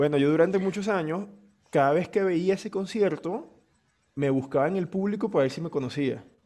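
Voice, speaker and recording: Over a quiet background, a man talks at a fairly quick pace in a high pitch. His tone is dark and mellow, with ordinary pitch variation. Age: 30s. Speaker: podcast host. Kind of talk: casual chat.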